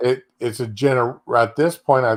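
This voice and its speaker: The recording is very clean, with a silent background. A man speaks fairly slowly at a medium pitch with ordinary pitch variation. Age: 60s. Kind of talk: casual chat. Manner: halting.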